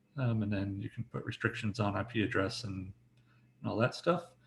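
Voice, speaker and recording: A somewhat breathy man, fairly low in pitch, at a very fast pace. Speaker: software developer. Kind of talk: technical presentation. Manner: casual with many fillers.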